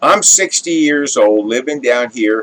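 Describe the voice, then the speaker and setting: Here is a man with a normal speaking voice and an American accent. His pitch is medium and his pace fairly slow. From Southern California. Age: 60s. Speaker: YouTuber telling personal stories. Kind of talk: storytelling monologue. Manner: casual, conversational.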